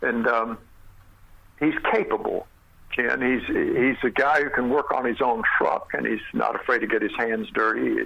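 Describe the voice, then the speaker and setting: A man speaks at a moderate pace with very even loudness over noticeable background noise. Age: 60s. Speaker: actor. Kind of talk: interview. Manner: halting.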